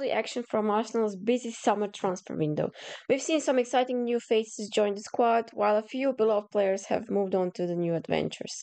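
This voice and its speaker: Fairly quick with hardly any pauses, a woman speaks in a Croatian accent. Her pitch is fairly high, with ordinary pitch variation. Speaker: football pundit. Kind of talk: scripted review reading from notes. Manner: halting.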